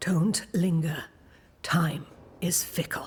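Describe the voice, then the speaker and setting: A raspy, middle-pitched put-on character voice. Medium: video game. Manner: measured, enigmatic, slow.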